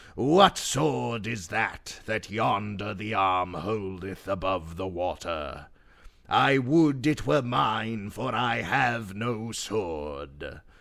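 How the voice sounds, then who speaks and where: A man puts on a character voice and draws his words out at a very slow pace. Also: fairly low pitch for a man. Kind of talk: archaic storytelling. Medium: read story.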